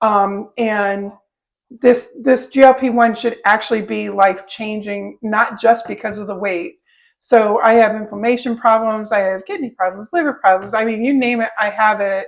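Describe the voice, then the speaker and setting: In a quiet background, a woman with a plain, everyday voice and a fairly high pitch talks at a moderate pace. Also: fairly even intonation. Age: 60s. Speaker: co-host of lifestyle channel. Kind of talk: casual chat.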